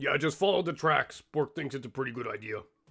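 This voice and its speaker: Putting on a raspy character voice, a man speaks at a fairly high pitch and a fairly quick pace. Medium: actual play. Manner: refers to himself in third person, rambling.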